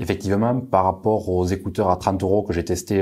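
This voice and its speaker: Speaking in a southern French accent, a man has a fairly low pitch and a dark, mellow tone. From southern France. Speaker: tech reviewer. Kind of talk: product review. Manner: frequent hesitations (euh).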